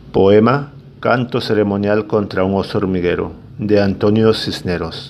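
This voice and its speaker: Noticeable background noise sits behind a man who talks in a fairly low voice at a fairly slow pace, with fairly even intonation. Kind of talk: poetry reading.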